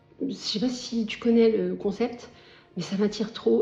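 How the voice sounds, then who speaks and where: Music plays in the background as a woman talks at a fairly slow pace. Her pitch is fairly high and her intonation fairly even. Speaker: lifestyle vlogger. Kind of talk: casual vlog talk to camera. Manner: hesitant, many fillers.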